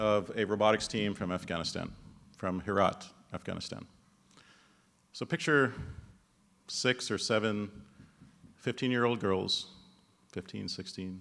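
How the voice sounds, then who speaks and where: At a fairly slow pace, a man with fairly low pitch talks with ordinary pitch variation and long, frequent pauses. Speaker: presenter. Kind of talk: speech introducing an honoree. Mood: measured storytelling. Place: hall. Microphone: podium.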